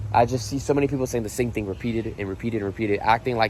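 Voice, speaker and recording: A man speaks at a very fast pace in a medium pitch. His pitch varies in an ordinary way. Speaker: exotic animal ranch owner and vlogger. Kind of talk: casual vlog tour. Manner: casual with many fillers; quieter, softer tone around the animal.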